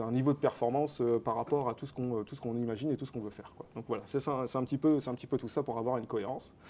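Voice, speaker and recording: Fairly even intonation from a man at medium pitch. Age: 30s. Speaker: company co-founder. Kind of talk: interview. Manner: hesitant, many fillers.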